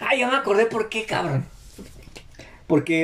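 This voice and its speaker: A man talks in a Mexican accent. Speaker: podcast host. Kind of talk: casual chat.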